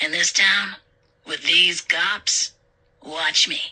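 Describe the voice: In a put-on character voice, a woman speaks at a very slow pace with a fairly low pitch, a bright, sharp tone and fairly even intonation.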